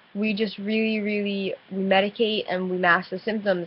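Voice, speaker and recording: Here a woman speaks in an American accent. Her intonation stays monotone and flat. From New Jersey, US. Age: 20s. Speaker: vlogger with chronic illness. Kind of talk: casual webcam vlog. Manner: halting, hesitant.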